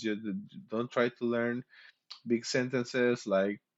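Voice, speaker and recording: A man with a medium pitch talks fairly slowly, his pitch varying in an ordinary way. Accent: Mexican. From Mexico. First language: Spanish. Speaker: streamer. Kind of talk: casual chat. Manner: halting.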